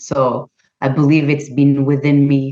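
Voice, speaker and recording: This woman has a very deep, low-pitched voice. She speaks at a moderate pace. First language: not English. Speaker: holistic health practitioner and author. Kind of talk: interview. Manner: halting.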